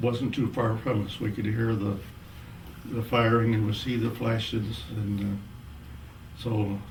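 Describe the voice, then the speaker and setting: Monotone and flat, the speech moves at a fairly slow pace with long, frequent pauses. Noticeable background noise runs underneath. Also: man, medium pitch for a man. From Missouri, USA. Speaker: war veteran. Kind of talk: interview answer.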